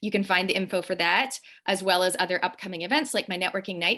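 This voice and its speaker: A woman with a strong Canadian accent at a fairly quick pace, in a very clean recording with a silent background. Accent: Canadian accent, still strong. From Canada. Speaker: show host and wellness business owner. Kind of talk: interview conversation. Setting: Instagram live video.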